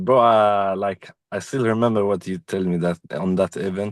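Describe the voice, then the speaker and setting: A man's fairly low voice at a moderate pace, with fairly even intonation, a quiet background, and a dry, close sound with no echo. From Sweden. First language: not English. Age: 20s. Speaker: community member giving testimony. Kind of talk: testimony.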